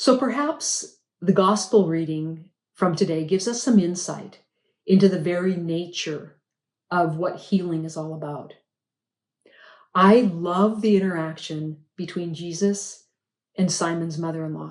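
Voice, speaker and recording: A woman with an American accent speaks at a fairly slow pace in a fairly low pitch, with ordinary pitch variation, big swings in loudness, and long, frequent pauses. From Montana. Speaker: lay preacher. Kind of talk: homily.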